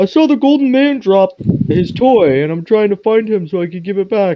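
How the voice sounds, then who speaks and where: A man speaks at a moderate pace in a put-on character voice. His pitch is high. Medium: actual play. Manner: halting, simple phrasing.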